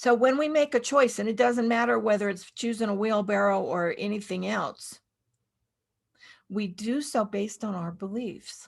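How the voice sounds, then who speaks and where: A woman with an ordinary speaking voice, fairly high in pitch with ordinary pitch variation. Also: moderate pace. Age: 60s. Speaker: minister. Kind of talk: sermon.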